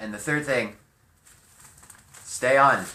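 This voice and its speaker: Audible room echo accompanies a man of medium pitch with lively intonation and an American accent. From California. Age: 20s. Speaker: vlogger and musician. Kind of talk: casual vlog monologue. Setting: home garage.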